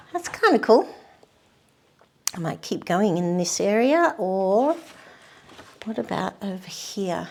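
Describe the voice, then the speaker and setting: Soft-spoken and fairly slow, the voice leaves long, frequent pauses. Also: woman. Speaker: painting tutor. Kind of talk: painting demonstration. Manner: casual.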